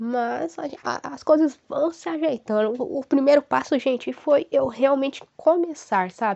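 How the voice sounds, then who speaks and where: Very wide pitch swings from a woman speaking at a fairly slow pace. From Brazil, Paraná (Ivaiporã). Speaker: podcast host, psychology student. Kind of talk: casual solo podcast monologue. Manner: warm, animated.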